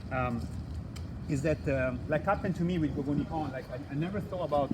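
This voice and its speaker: With noticeable background noise, a man speaks at a very fast pace in a fairly high pitch with ordinary variation. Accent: Italian. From Italy. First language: Italian. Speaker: live show host, study-abroad agency founder. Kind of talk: live-streamed interview show. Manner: hesitant, many fillers and repeats.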